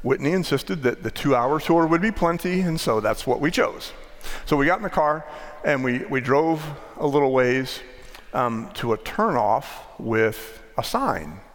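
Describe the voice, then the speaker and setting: With lively intonation and a fairly high pitch, a man talks at a moderate pace against noticeable background noise. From US, northwest Maryland. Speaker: pastor. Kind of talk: sermon. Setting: church.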